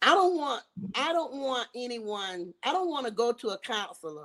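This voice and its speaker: With a Southern US accent, a woman talks at a moderate pace in a fairly high pitch that swings very widely. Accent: Southern US (Georgia). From US South, Georgia. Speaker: southern soul singer. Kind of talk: interview.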